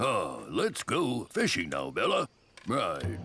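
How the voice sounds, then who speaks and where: A man performs a cartoonish character voice. He delivers it at a fairly slow pace. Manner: proper, refined.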